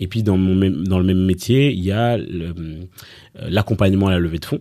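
A man's very deep, low voice with a dark, mellow tone and ordinary pitch variation, on a very clean recording with a silent background. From Belgium, grew up after early childhood in Rwanda, Congo and Kenya refugee camps. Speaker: startup coach and fundraising advisor. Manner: hesitant, many fillers and repetitions.

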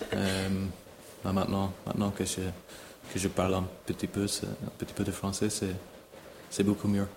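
With long, frequent pauses, a man talks at a fairly slow pace in a fairly low pitch and a monotone, flat intonation. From Ireland, near Dublin. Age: 30s. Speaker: show jumping rider. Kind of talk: interview. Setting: on location at a stable. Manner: halting, many repetitions.

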